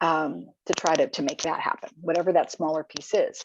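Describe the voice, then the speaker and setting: This is a woman's voice. She speaks at a fairly quick pace. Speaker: foundation grantmaker presenting to nonprofits. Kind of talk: webinar presentation. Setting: video call. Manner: fast.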